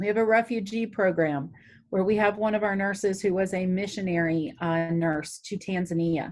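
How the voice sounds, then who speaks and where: With an unremarkable speaking voice, a woman talks in a fairly low pitch at a moderate pace. Her intonation stays fairly even. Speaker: city health department director. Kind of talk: talk to a community group.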